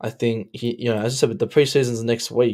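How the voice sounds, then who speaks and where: With an Australian accent, a man speaks at a moderate pace with fairly even intonation on a very clean recording with a silent background. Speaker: football fan commentator. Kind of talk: casual chat.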